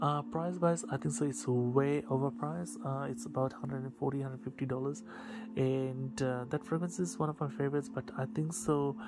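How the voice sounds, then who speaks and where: Over music in the background, a man with a non-native accent speaks at a fairly quick pace, his medium pitch carried by lively intonation. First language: not English. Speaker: fragrance reviewer. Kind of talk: product review. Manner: halting, many fillers.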